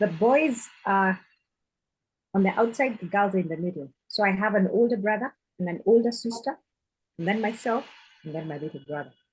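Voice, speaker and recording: Speaking in a Kenyan accent, a woman talks at a fairly quick pace with lively intonation, a somewhat breathy voice and long, frequent pauses. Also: medium pitch for a woman. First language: Kikuyu. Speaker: author. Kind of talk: group video chat interview.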